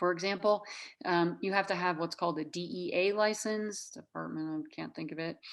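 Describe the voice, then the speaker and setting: An ordinary speaking voice from a woman in an American accent, medium pitch with ordinary pitch variation, moderate pace, on a very clean recording with a silent background. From Minnesota. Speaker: nurse practitioner. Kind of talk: interview.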